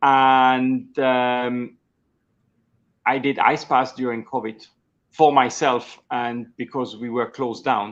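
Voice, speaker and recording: A man with a Swiss German accent speaks very slowly at a medium pitch, with long, frequent pauses. His intonation is flat and monotone, and the background is quiet. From Switzerland. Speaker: executive coach. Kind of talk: interview. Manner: halting.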